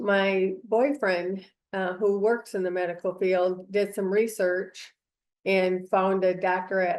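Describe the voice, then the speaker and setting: A woman's fairly slow, monotone delivery with flat intonation. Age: 60s. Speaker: cancer patient, clinical trial participant. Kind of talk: interview testimony. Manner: hesitant, many fillers.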